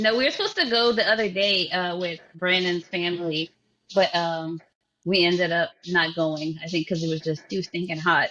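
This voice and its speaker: A woman with a Cajun accent, fairly low-pitched, at a moderate pace. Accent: Cajun Louisiana English. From Louisiana (Cajun country, north of I-10). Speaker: podcast host. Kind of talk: casual chat. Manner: animated.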